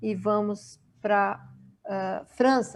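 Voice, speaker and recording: Very slowly, a woman speaks in a fairly high voice on a very clean recording with a silent background. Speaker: webinar moderator. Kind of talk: reading aloud; event moderation.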